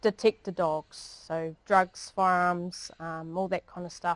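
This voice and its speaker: A woman speaks fairly slowly in a New Zealand accent. The sound is dry and close, with no echo. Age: 40s. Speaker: police dog handler. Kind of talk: public talk. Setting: library talk with audience. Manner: casual, with many fillers.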